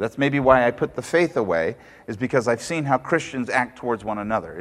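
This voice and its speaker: A man with an ordinary speaking voice talks with lively intonation. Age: 40s. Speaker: pastor. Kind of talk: sermon.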